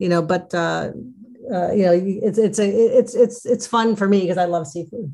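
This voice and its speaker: A woman with a plain, everyday voice, medium in pitch with ordinary variation, at a moderate pace. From Chicago, US Midwest. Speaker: food travel blogger. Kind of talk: casual interview.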